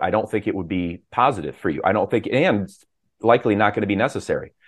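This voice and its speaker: A man speaks at a very fast pace with a fairly low pitch. His pitch varies in an ordinary way. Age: 50s. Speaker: health coach. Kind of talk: interview.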